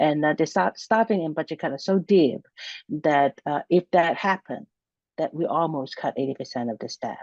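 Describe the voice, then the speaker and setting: A woman speaks in a Hong Kong accent at a very deep, low pitch and moderate pace, with lively intonation. The sound is dry and close with no echo over a quiet background. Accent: Hong Kong Cantonese-accented English. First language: Cantonese. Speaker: university center director. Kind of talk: interview. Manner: halting, many fillers and restarts.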